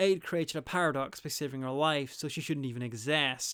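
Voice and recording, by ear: A man's voice at medium pitch and moderate pace, with ordinary pitch variation and a fairly bright, clear, smooth tone, in a very clean recording with a silent background.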